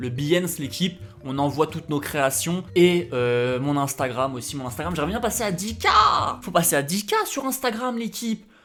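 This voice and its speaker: With music in the background, a man speaks at a moderate pace and fairly high pitch, his pitch swinging very widely. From France. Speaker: YouTuber and graphic designer. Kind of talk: casual vlog commentary. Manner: casual, conversational.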